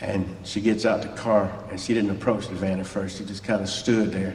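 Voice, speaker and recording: Audible room echo surrounds a man with a strong Southern US accent, speaking in a fairly low pitch with monotone, flat intonation. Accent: thick southern drawl. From US South, Mobile, Alabama. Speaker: church guest speaker, former musician. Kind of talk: testimony. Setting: church. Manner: fast.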